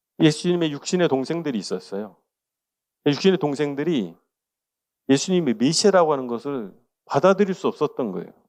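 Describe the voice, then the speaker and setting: Against a quiet background, the speaker moves at a fairly quick pace with long, frequent pauses and very wide pitch swings. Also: man, fairly high pitch for a man. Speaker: pastor teaching a Bible study course. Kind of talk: lecture. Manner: conversational, rhetorical questions.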